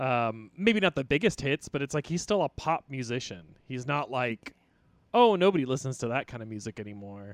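Using a normal speaking voice, a man talks at a fairly quick pace in a medium pitch with lively intonation and big swings in loudness, the sound dry and close with no echo. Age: 30s. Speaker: comedian. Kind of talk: casual chat.

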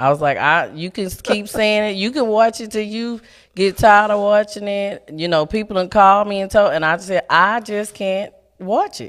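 A woman speaks at a moderate pace and medium pitch with ordinary pitch variation in a normal speaking voice, on a very clean recording with a silent background. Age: 30s. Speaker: nurse and activist. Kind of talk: casual chat. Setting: studio.

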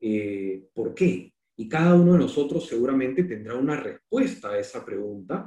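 The voice is dark, mellow and somewhat breathy, moving at a moderate pace with very wide pitch swings. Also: man, medium pitch for a man. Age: 50s. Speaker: architect and university dean. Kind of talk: lecture.

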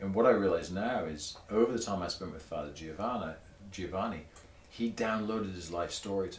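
A man with a fairly low pitch speaks at a fairly quick pace with ordinary pitch variation and big swings in loudness, over noticeable background noise and audible room echo. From southern England, Torbay (Devon coast). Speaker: motorcycle journalist. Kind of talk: casual chat. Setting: garage.

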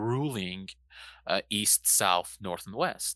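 The voice has a bright, sharp tone and a fairly slow pace. The sound is dry and close, with no echo. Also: man. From Iran. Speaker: podcast co-host. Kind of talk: casual chat. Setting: remote call.

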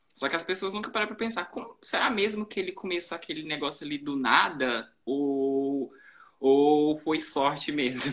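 Moderate in pace, this is a plain, everyday voice. The pitch moves with ordinary variation. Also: man, fairly high pitch for a man. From Brazilian countryside. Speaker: fashion social media manager. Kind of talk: live-stream conversation. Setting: live stream on Instagram.

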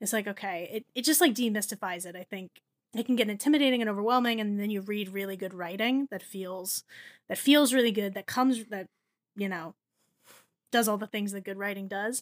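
A woman with an ordinary speaking voice talks at a fairly quick pace and medium pitch, with ordinary pitch variation and big swings in loudness, the sound dry and close with no echo on a very clean recording with a silent background. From New Jersey. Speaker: writer and editor, food blogger. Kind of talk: casual chat.

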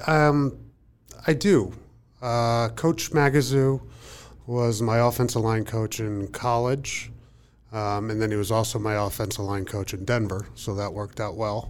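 This man has an ordinary speaking voice, medium in pitch, with an American accent and a fairly slow pace. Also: ordinary pitch variation. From rural Pennsylvania. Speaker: former NFL player, company employee. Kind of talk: casual panel chat. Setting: studio.

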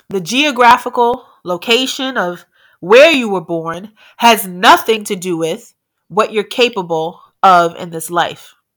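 Against a silent background in a very clean recording, a woman with a plain, everyday voice speaks at a fairly slow pace with an American accent, medium pitch, lively intonation and big swings in loudness. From New York, the Bronx. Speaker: entrepreneur. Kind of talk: speech.

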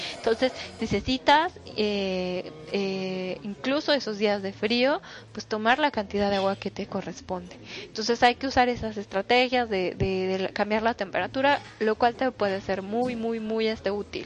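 Fairly slow, fairly high-pitched speech from a woman, with ordinary pitch variation. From Mexico, Toluca. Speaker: nutritionist. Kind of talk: solo podcast talk. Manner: halting, many fillers.

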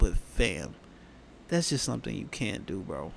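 At a moderate pace, a man talks with vocal fry. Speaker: podcast host. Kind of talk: casual podcast monologue on hip-hop news. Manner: informal, talkative.

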